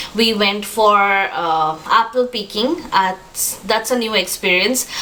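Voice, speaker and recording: Over noticeable background noise, a woman with a Bengali accent speaks very slowly at a medium pitch with ordinary pitch variation. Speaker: vlogger. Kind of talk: casual vlog talk to camera. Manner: hesitant, many fillers.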